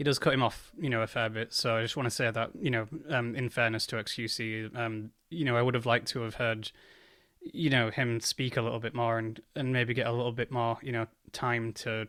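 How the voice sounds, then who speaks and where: A man with an English accent speaks at a fairly quick pace in a bright, sharp tone with flat, monotone intonation, on a very clean recording with a silent background. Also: medium pitch for a man. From England. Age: 30s. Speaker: commentary youtuber. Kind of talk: reaction commentary. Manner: hesitant, many fillers.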